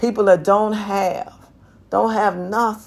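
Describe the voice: With fairly even intonation, someone does plain reading aloud.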